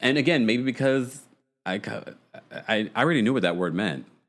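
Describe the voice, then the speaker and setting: This man speaks at a medium pitch. His voice has vocal fry. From New York, child of Jamaican immigrants. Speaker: online radio show host. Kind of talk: call-in recap show.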